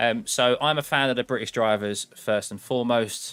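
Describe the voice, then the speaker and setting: Backed by music, a man with an English accent speaks at a moderate pace and a medium pitch. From England. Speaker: sim racing streamer. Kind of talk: live watchalong commentary. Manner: casual, conversational.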